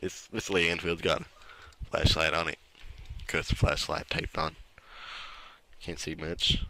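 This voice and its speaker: A man's put-on character voice, raspy and very deep and low, at a moderate pace with long, frequent pauses. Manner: casual, playful.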